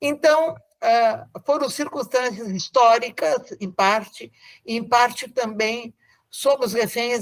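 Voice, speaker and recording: In a very clean recording with a silent background, a woman speaks at a very slow pace in a fairly high pitch. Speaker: professor. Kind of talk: interview. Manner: formal.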